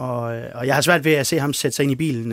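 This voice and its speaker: A man talks at a fairly quick pace in a normal speaking voice with fairly high pitch and ordinary pitch variation. The sound is dry and close with no echo. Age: 50s. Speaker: freelance sports journalist. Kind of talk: casual panel discussion.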